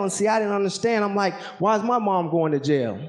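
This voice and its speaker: Through noticeable background noise, a man in a Southern US accent talks very fast at a high pitch, with ordinary pitch variation. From Alaska, later Georgia from age ten. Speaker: military helicopter pilot and motivational speaker. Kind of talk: motivational talk with spoken word poetry.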